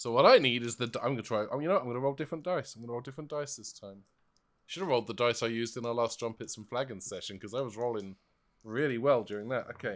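A man speaks at a very fast pace in a medium pitch, with ordinary pitch variation, an animated tone and big swings in loudness. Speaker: player in a tabletop roleplaying game. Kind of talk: casual, jokey roleplaying game chat. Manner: jokey, animated.

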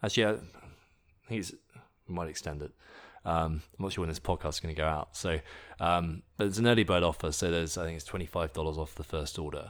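A man with an English accent speaks in a very deep, low pitch with fairly even intonation and long, frequent pauses, on a very clean recording with a silent background. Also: fairly quick pace. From England. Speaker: nutrition company founder, fitness enthusiast. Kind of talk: interview chat.

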